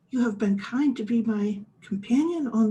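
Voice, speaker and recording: A shaky, put-on character voice moves at a moderate pace with ordinary pitch variation. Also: woman, fairly high pitch for a woman. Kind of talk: extremely polite.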